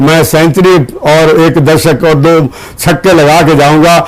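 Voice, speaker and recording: There is noticeable background noise. Over it, a man speaks with a fairly high pitch. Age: 80s+. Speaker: university chancellor. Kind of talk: TV interview. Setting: studio.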